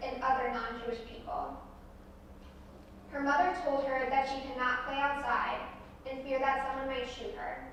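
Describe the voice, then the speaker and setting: Over noticeable background noise and audible room echo, a woman with an American accent speaks in a high pitch with ordinary pitch variation. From US Midwest, Omaha, Nebraska. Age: 20s. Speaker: guest speaker, descendant of Holocaust survivor. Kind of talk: public talk to a school audience.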